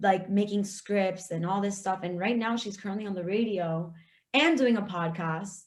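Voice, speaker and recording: A somewhat breathy voice with a Florida accent and ordinary pitch variation comes through with audible room echo. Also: woman. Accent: Florida (Hialeah). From South Florida (Hialeah, Miami area). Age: 20s. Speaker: aspiring podcaster. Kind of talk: casual interview chat.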